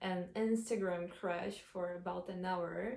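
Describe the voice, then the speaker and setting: The voice moves at a very slow pace with monotone, flat intonation and a dark, mellow tone. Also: woman. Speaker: vlogger. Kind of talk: casual vlog monologue. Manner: halting.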